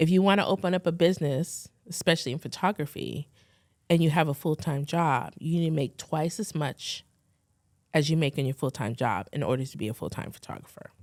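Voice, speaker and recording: At a moderate pace, a woman speaks with a very deep, low pitch and ordinary pitch variation in a very clean recording with a silent background. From Philippines, then California. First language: Tagalog. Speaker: fashion and beauty photographer. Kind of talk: interview. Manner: casual, conversational.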